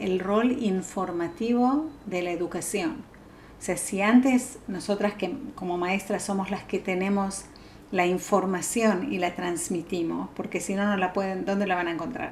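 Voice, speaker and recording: Her voice is somewhat breathy and medium in pitch. The woman speaks fairly slowly with ordinary pitch variation. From Argentina. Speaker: psychologist. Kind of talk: talk. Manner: halting.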